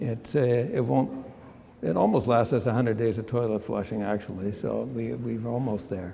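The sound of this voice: With vocal fry and a dark, mellow tone, a man speaks at a medium pitch and a moderate pace, his pitch varying in an ordinary way.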